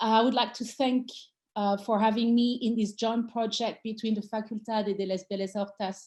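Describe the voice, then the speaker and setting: A woman with a French accent speaks at a moderate pace in a fairly high, somewhat breathy voice. Her intonation stays monotone and flat. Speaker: design theorist and author. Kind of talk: talk introduction.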